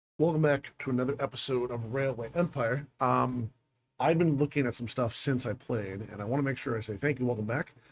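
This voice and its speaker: A somewhat breathy man at a medium pitch, with ordinary pitch variation and a fairly quick pace. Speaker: gaming youtuber. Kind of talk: let's play commentary. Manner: fast; energetic.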